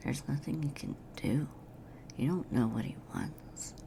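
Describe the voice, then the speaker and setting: A whispering woman at a fairly slow pace, with noticeable background noise. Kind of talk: ASMR girlfriend roleplay. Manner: whispered; sleepy, rambling.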